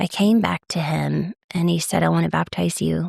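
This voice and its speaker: In an American accent, a woman talks at a moderate pace, the sound dry and close with no echo. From East Texas. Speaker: podcast host. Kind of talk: personal storytelling monologue. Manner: casual, animated.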